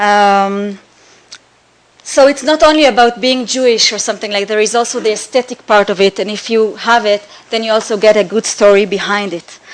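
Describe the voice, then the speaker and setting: A woman talks at a fairly quick pace with an Israeli accent. Her pitch is fairly high, with ordinary variation. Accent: Hebrew. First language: Hebrew. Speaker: artist. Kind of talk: slideshow presentation. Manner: halting, many fillers.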